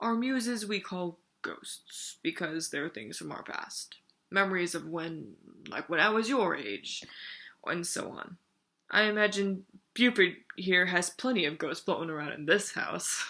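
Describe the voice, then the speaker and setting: Put on as a character, the voice is gravelly and guttural, with lively intonation at a moderate pace. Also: woman, medium pitch for a woman. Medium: read story. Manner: slow, thoughtful.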